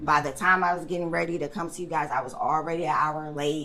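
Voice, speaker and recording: Audible room echo surrounds a woman's fairly low voice. She keeps a moderate pace. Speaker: hairstylist and adoptee advocate. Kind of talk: casual interview. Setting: hair salon, live recording. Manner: confident, animated.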